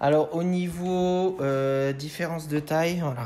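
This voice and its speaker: With a Moselle accent, a man speaks in a dark, mellow tone and fairly even intonation. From France, Moselle (Lorraine). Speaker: Pokémon card collector YouTuber. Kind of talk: unboxing video. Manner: hesitant, many fillers.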